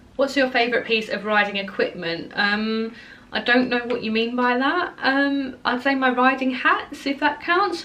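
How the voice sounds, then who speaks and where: The speaker has an Essex accent and an animated tone. The intonation is lively. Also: woman, high pitch for a woman, moderate pace. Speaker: equestrian vlogger. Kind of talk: casual Q&A vlog. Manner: animated, chatty with fillers.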